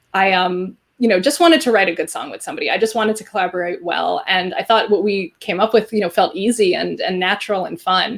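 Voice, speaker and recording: Speaking very fast with a slight New Jersey accent, a woman uses ordinary pitch variation. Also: medium pitch for a woman, hardly any pauses. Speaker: songwriter duo member and show host. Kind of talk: casual chat on live stream.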